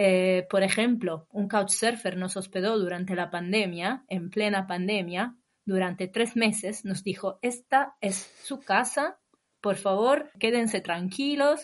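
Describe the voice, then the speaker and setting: In a quiet background, a woman with an Italian accent talks at a very slow pace, with a medium pitch and ordinary pitch variation. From northern Italy, Imola. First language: Italian (speaking Spanish). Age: 30s. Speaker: long-term traveller. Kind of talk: casual interview.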